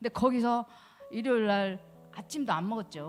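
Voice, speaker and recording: A woman speaks at a fairly quick pace. She has an ordinary speaking voice. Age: 60s. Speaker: church testimony speaker. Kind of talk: testimony.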